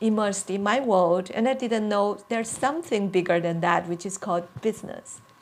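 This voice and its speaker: A woman with a Chinese accent talks at a fairly quick pace with hardly any pauses, her medium pitch showing ordinary variation. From China. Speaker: career coach. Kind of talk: personal talk to camera. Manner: hesitant with fillers.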